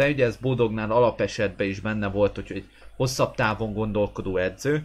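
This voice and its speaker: Moderate pace from a man with a fairly low voice. His pitch variation is ordinary. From Hungary. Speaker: goalkeeper coach and sports channel host; goalkeeping blogger, coach. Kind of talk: live stream chat with viewers. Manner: hesitant with fillers. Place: home room. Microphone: webcam.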